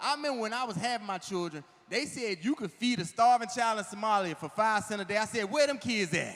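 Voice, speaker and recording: A man's animated tone, fairly quick pace and lively intonation, over noticeable background noise. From Washington DC area. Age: 40s. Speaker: comedian. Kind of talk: stand-up. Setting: stage with audience.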